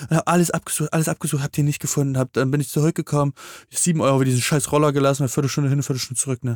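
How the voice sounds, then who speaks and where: A man speaks at a fairly high pitch with fairly even intonation. The sound is dry and close, with no echo. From eastern Germany. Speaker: podcast co-host. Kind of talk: casual chat.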